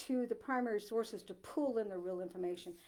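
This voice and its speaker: In an American accent, a woman sounds animated, with lively intonation. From Maine, US (Dover-Foxcroft). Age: 60s. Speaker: author. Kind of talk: author talk to a library audience. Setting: library talk with live audience. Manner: animated, with many fillers and restarts.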